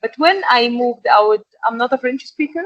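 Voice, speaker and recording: With an Egyptian accent, a woman speaks at a fairly quick pace in a high pitch with ordinary variation, the sound dry and close with no echo. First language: Arabic. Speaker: export and packaging manager. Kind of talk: interview. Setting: podcast.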